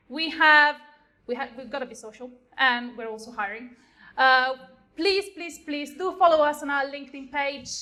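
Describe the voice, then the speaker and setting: A woman with an Italian accent speaks in a raised, projected voice with a bright, sharp tone and a high pitch. Her pace is moderate, her pitch varies in an ordinary way, and her loudness swings widely. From Italy. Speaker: software engineer. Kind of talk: lightning talk. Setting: stage with audience.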